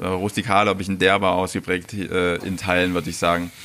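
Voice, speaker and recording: Noticeable background noise sits behind the talking. A man delivers his words at a fairly quick pace. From Saxony-Anhalt, Mansfeld area (former East Germany). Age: 40s. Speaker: chef. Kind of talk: interview. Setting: restaurant.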